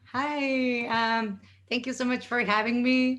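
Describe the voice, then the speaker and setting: A woman speaks in a high pitch. She has a Spanish accent. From northern Mexico. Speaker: comedian and performer. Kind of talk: comedic storytelling presentation.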